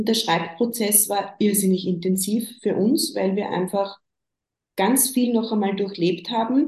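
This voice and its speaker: This somewhat breathy voice has a dark, mellow tone, very even loudness, ordinary pitch variation and a fairly slow pace. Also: woman, medium pitch for a woman. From Upper Austria. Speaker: bereaved mother, counsellor in training. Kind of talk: interview about grief.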